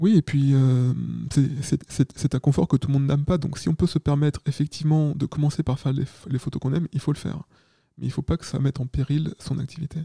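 This man talks at a fairly quick pace in a fairly high, somewhat breathy voice with a dark, mellow tone and fairly even intonation, recorded with a dry, close sound and no echo. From Paris region, France. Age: 30s. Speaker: photographer. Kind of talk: interview.

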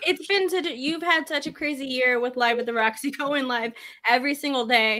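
Raising and projecting her voice, a woman talks at a fairly quick pace with high pitch. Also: ordinary pitch variation. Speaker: podcast co-host. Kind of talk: casual chat.

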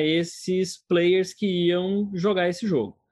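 This is a man speaking with a Goiás accent. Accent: Goiás rural accent (joked as French). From Goiás, Brazil. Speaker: agtech product director. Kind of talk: interview.

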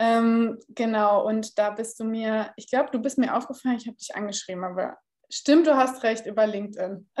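At a moderate pace, a woman with a fairly high pitch and fairly even intonation speaks in big swings of loudness. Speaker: podcast host, content marketing consultant. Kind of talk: casual interview chat. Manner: raises voice oddly at the start.

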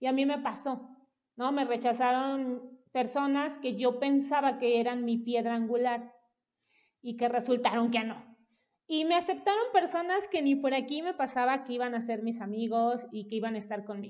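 Speaking with a Mexican accent, a woman has a high pitch. Her pace is moderate. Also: ordinary pitch variation. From Mexico, Veracruz (Coatepec). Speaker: parenting educator. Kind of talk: casual interview.

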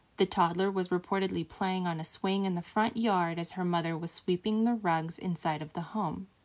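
A woman with an ordinary speaking voice talks at a moderate pace, fairly low in pitch and fairly even in intonation. The recording is very clean, with a silent background. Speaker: true crime podcast host. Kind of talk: true-crime narration. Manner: grave, measured, somber storytelling pace.

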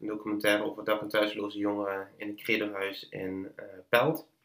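A man's bright, sharp tone at a fairly low pitch, fairly even in intonation and moderate in pace. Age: 20s. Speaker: filmmaker and podcast maker. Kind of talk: interview conversation. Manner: halting, many fillers and repetitions.

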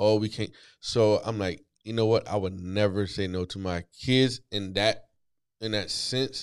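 In a very clean recording with a silent background, a man with a normal speaking voice talks fairly slowly at a fairly low pitch. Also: fairly even intonation. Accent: American. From US East Coast. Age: 40s. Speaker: author and entrepreneur in recovery. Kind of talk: casual interview chat.

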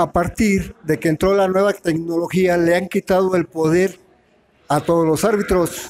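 Pitched high, a man speaks at a fairly slow pace with fairly even intonation. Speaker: veteran football referee. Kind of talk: panel discussion.

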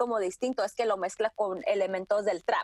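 A woman with a fairly high pitch and fairly even intonation sounds dry and close, with no echo. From Tijuana–San Diego border, Mexico. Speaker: music industry producer and curator. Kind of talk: interview. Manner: halting, many fillers and repetitions.

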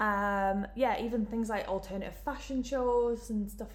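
A woman with a Geordie accent at a fairly slow pace. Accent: Geordie, northern English. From Newcastle, northern England. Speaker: events student, marketing placement. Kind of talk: casual interview. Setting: in-person room recording.

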